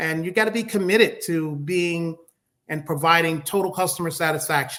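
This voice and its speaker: Here a man speaks with a high pitch. His pace is moderate, and his pitch variation ordinary. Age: 60s. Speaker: horse ranch owner. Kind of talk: interview. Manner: halting.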